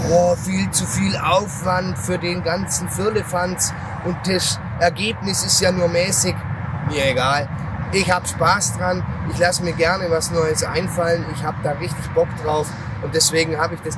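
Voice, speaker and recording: A man speaks at a fairly slow pace, and the sound is dry with no echo. Loud background noise runs underneath. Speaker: photography vlogger. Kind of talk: casual vlog chat. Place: farm machine.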